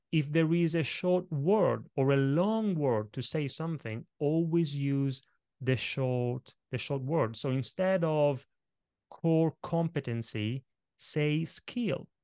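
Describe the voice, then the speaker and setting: A man with an Italian accent speaks at a very slow pace, his tone dark and mellow at a fairly high pitch with ordinary variation. The sound is dry and close with no echo, against a quiet background. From Italy. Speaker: presentation coach. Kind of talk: interview.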